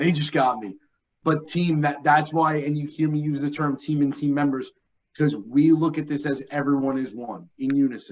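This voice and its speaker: A man in a New York accent talks with ordinary pitch variation. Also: moderate pace. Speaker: benefits account manager presenter. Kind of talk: conference presentation.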